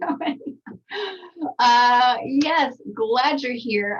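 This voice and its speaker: A woman with an American accent and a high pitch speaks at a very slow pace. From Texas. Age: 40s. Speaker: skincare trainer. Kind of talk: webinar presentation. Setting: video call from home recording studio.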